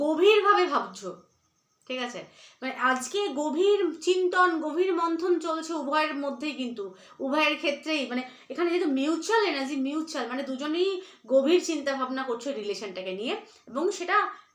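Audible room echo follows a woman as she speaks in a high pitch with lively intonation. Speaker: tarot reader. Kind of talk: tarot reading.

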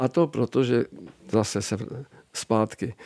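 A man speaks at a medium pitch and a moderate pace with a dark, mellow tone. The sound is dry with no echo against a quiet background. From Czechia. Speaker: comic illustrator. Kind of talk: interview. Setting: studio. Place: studio. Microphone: studio mic.

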